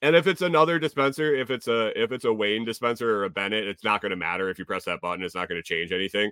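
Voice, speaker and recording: This man talks at a fairly quick pace, with an unremarkable speaking voice and lively intonation. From US Northeast (Connecticut). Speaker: podcast host. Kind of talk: casual livestream chat. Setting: home livestream with chat. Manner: casual, many fillers and repetitions.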